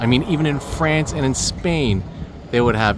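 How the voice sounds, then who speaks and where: A man keeps ordinary pitch variation and a moderate pace while audible room echo and noticeable background noise surround him. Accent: Canadian. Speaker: travel vlogger. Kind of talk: casual vlog narration.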